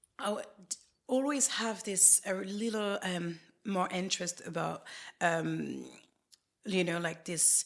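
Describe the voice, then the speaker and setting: A woman with a French accent speaks at a medium pitch, with vocal fry and ordinary pitch variation. Her pace is fairly slow, with long, frequent pauses. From France. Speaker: facialist. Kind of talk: interview. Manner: halting.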